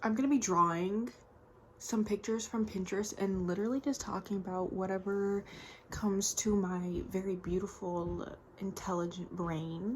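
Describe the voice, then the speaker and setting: A soft-spoken woman talks at a moderate pace. Her medium pitch shows ordinary variation. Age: 20s. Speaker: art vlogger. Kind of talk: casual chat.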